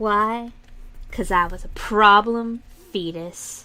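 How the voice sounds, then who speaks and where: Speaking very slowly, a woman with an American accent has a fairly high pitch and fairly even intonation. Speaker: streamer, digital artist. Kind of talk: casual live-stream chat while drawing. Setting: live stream.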